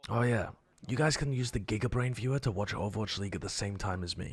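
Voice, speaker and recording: A man whispers in a put-on character voice. His voice is raspy. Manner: whispering.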